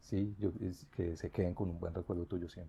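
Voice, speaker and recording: Against a quiet background, a man with a very deep, low pitch and a dark, mellow tone speaks somewhat breathily at a fairly quick pace with fairly even intonation. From Colombia, Bogotá (born in Bucaramanga, moved at 5-6). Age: 40s. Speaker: teacher. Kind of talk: interview.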